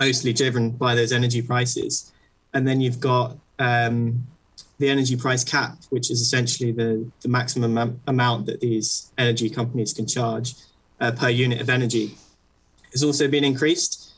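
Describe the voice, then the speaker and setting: A man with a London accent speaks at medium pitch and a moderate pace, somewhat breathy. His intonation is monotone and flat, and his loudness very even. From London, England. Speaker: law student and political commentator. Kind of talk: remote interview.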